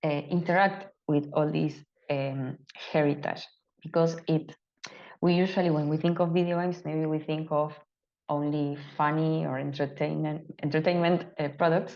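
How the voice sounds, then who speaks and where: A woman's very deep, low voice in an Argentine accent, monotone and flat, at a moderate pace. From Argentina. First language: Spanish. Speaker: open culture advocate presenting a case study. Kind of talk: webinar presentation. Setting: online webinar. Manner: halting with many fillers.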